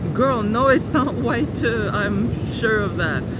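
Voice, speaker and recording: Lively intonation from a male speaker amid noticeable background noise. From Montreal, Quebec, Canada. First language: French and Moroccan Arabic. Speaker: polyglot travel vlogger. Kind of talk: casual talk to camera. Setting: outdoors. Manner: chatty, informal.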